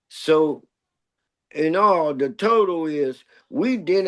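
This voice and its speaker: A man's fairly high-pitched voice with lively intonation and an American accent. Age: 60s. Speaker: pioneer street dancer. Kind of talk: interview.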